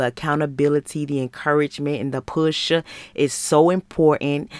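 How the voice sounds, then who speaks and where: A woman with an American accent speaks in a very deep, low pitch and a flat monotone. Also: dry, close sound with no echo. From Michigan, US. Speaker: life coach and podcast host.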